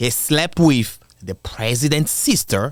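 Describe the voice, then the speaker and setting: Over a silent background in a very clean recording, a man with an African accent speaks with lively intonation. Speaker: commentary video creator. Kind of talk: casual commentary. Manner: casual, conversational.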